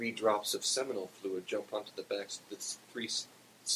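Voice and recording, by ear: A natural voice reads a text aloud.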